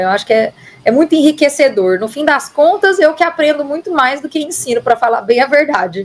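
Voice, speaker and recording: With noticeable background noise behind her, a woman talks at a fairly quick pace with lively intonation. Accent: Minas Gerais. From Minas Gerais, Brazil (interior). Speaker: marketing director. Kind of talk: podcast interview. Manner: upbeat, positive.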